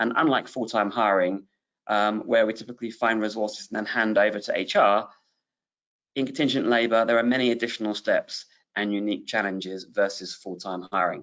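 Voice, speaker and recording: Speaking at a fairly quick pace with a British accent, a man keeps his fairly low pitch on a fairly even intonation. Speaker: webinar host, business executive. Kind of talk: webinar presentation. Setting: online webinar.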